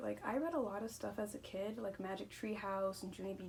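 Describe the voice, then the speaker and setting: A woman talks at a fairly quick pace, with audible room echo and noticeable background noise. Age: 20s. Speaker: booktuber. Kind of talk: casual vlog monologue. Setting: at home. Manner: fast; rambling with stumbles.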